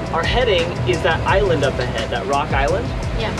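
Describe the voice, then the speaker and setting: Music plays in the background while a man speaks at a moderate pace. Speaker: sailing vlogger. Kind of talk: casual vlog chat. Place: boat. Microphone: camera far.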